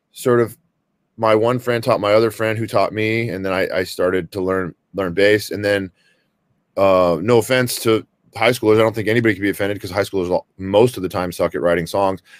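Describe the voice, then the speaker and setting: A man talks at a fairly quick pace in an unremarkable speaking voice. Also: dry, close sound with no echo. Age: 40s. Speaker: metal band vocalist. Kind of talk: casual chat.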